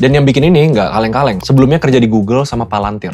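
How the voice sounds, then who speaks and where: A man talks at a very fast pace in an energetic tone with ordinary pitch variation. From Indonesia. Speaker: YouTuber and entrepreneur; YouTuber. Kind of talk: YouTube explainer. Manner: casual, energetic. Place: home room. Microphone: lapel.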